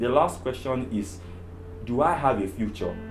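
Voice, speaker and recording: There is music in the background and audible room echo. A man talks at a moderate pace. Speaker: therapist sharing personal story. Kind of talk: testimony.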